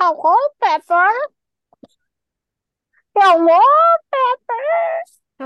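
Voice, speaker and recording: A squeaky, put-on character voice sits at an extremely high pitch. It moves at a very slow pace with long, frequent pauses. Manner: creepy, doll-like.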